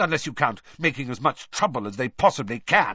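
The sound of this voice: In a put-on character voice with a bright, sharp tone and a slightly husky edge, the speaker moves at a fairly quick pace through big pitch swings. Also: man, medium pitch for a man.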